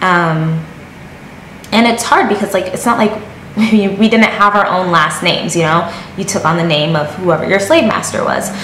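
The voice shows ordinary pitch variation. Room echo is audible, along with light background noise. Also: woman, moderate pace. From Connecticut, US (born in Jamaica). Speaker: YouTuber; vlogger. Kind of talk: casual vlog talk to camera. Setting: sit-down video at home. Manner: animated. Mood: serious, reflective. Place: home room.

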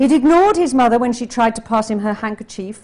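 With an English accent, a woman speaks in a dark, mellow tone and lively intonation. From England. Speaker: novelist. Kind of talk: reading aloud. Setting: classroom with audience, streamed online. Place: classroom. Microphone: podium.

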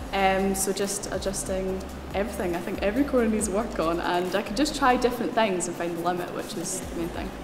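A woman at a fairly quick pace over clear music in the background. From Scotland. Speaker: racing driver. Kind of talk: interview answer. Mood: enthusiastic, grateful.

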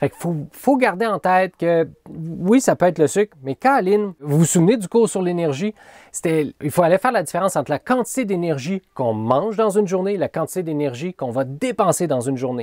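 A man with a Quebec accent, animated in tone and at a fairly quick pace, over a quiet background with a dry sound and no echo. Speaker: college teacher. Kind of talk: lecture. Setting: recorded video lesson. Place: home room. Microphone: webcam.

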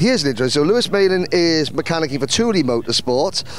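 A man speaks with lively intonation. Clear background noise can be heard.

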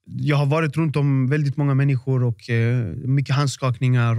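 Over a quiet background, a man talks with fairly even intonation in a dry sound with no echo. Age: 20s. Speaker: boxer and artist; podcast guest. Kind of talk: casual interview. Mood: calm, reflective. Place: home room. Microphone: studio mic.

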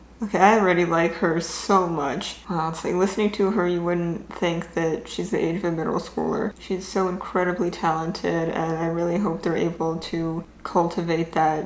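A woman talks at a fairly low pitch, flat and monotone, with hardly any pauses. Audible room echo and light background noise are present. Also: moderate pace. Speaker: reaction youtuber. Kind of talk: casual vlog chat. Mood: moved, emotional, admiring. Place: home room.

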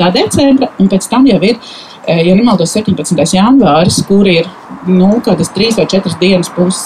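Loudness stays very even, with ordinary pitch variation over light background noise. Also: woman. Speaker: nail care specialist; invited storyteller. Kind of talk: testimony. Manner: halting. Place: garden. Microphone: handheld.

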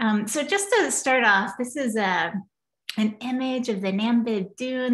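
Somewhat breathy, a woman speaks with an American accent over a quiet background. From Kentucky, US. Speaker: planetary scientist, professor; professor. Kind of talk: lecture. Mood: enthusiastic, friendly. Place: home room. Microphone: video call.

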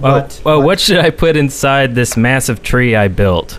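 There is lively intonation from a man who talks at a fairly slow pace and a fairly high pitch. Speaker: podcast co-host. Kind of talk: casual chat. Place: home room. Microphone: studio mic.

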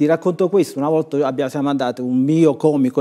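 Quiet surrounds the recording. The man's tone is dark and mellow, and his pitch varies in an ordinary way. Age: 60s. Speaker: author and comedy writer; talk show guest. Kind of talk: studio TV talk show discussion. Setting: TV studio. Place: studio. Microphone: lapel.

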